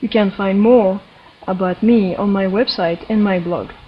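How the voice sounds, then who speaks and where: Over noticeable background noise, someone with a French accent speaks at a moderate pace with ordinary pitch variation. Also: woman. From France. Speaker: energy healer and interviewer. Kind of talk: introduction to interview.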